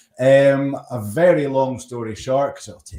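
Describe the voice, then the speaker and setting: A man speaks with a Scottish accent and a dark, mellow tone. He keeps a moderate pace. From Scotland. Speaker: storyteller and LinkedIn coach. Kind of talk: casual interview chat.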